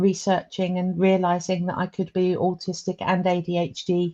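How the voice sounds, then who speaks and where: A woman with an English accent speaks at a fairly slow pace in a medium pitch, her tone dark and mellow and her intonation monotone and flat. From England. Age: 50s. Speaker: comedian and public speaker. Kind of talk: interview. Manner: hesitant, many fillers.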